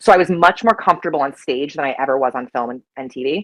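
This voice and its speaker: Her intonation is lively and her pace fairly quick. The woman speaks with an American accent. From Colorado. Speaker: actress. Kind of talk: interview. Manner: many filler ums.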